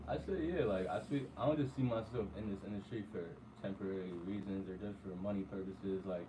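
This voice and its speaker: Fairly quick speech from a man at a fairly low pitch, with ordinary pitch variation, audible room echo and noticeable background noise. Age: young. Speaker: young barber. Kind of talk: interview.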